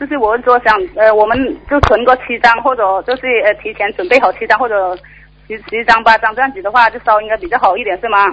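A plain, everyday voice moves at a fairly quick pace with fairly even intonation over light background noise. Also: woman, fairly high pitch for a woman. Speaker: caller. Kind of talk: call-in Q&A. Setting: phone call. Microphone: phone line.

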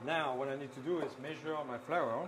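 A man's fairly even intonation comes across against noticeable background noise. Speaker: pastry chef instructor. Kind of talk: tutorial. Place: kitchen. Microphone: lapel.

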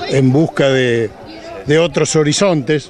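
A man speaks at a very slow pace with ordinary pitch variation, his sound dry with no echo and crowd noise in the background. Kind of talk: interview answer. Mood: emotional, nostalgic. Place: open country. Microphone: handheld.

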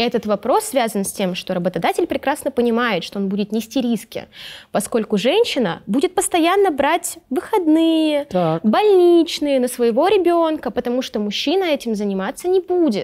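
Very wide pitch swings run through speech at a moderate pace over a quiet background. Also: woman, high pitch for a woman. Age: 20s. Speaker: blogger and feminist activist. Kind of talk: casual chat. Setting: studio. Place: studio.

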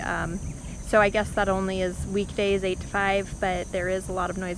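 At a fairly slow pace, a woman talks in a dry sound with no echo amid noticeable background noise. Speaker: house hunter vlogger. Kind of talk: casual vlog chat. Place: open country. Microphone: phone near.

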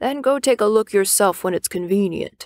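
A woman puts on a gravelly character voice at medium pitch, speaking at a moderate pace in a dry, close sound with no echo. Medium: read story. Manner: brisk, good-natured.

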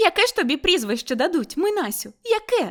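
Using a put-on character voice, a woman speaks extremely high at a fairly quick pace, her pitch swinging very widely. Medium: read story.

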